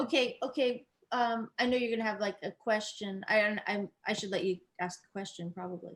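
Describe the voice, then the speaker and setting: A woman with an unremarkable speaking voice talks at a moderate pace in a fairly high pitch, using ordinary pitch variation. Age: 60s. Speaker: musician. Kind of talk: casual chat.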